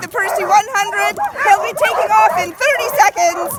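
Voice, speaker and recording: A woman's extremely high voice with very wide pitch swings, crowd noise behind her. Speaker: race announcer. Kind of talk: live event announcing. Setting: outdoors, poor audio.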